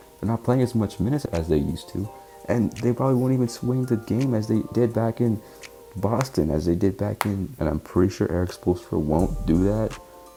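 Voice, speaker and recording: With music in the background, a man talks at a fairly quick pace with ordinary pitch variation. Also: fairly low pitch for a man. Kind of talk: casual sports commentary while watching a game. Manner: stuttering, casual.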